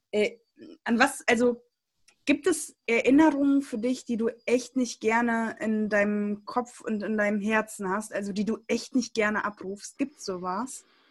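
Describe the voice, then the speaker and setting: With an ordinary speaking voice, a woman talks at a fairly slow pace, her pitch fairly high and varying an ordinary amount. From Germany, came from Siberia at age 3-4. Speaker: church youth podcast co-host. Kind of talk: casual chat.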